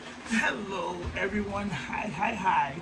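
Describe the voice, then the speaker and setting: There's audible room echo and noticeable background noise. Through it, a man speaks at a high pitch. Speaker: sewing crafter vlogger. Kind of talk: tutorial. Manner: animated.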